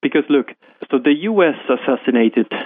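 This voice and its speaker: A man with a Polish accent, ordinary pitch variation and a moderate pace. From Poland. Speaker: investment fund manager. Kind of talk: interview.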